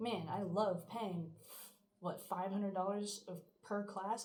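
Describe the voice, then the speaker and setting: Her voice lands at a mid-level pitch. The speaker is female. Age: 20s. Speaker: college student. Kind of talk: casual talk to camera.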